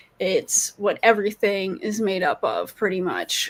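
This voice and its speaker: A woman speaks over noticeable background noise. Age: 20s. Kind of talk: interview answers. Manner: hesitant, many fillers.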